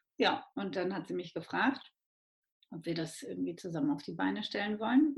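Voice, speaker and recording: Vocal fry from a woman speaking at a moderate pace. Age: 30s. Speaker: midwife and entrepreneur. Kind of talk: interview.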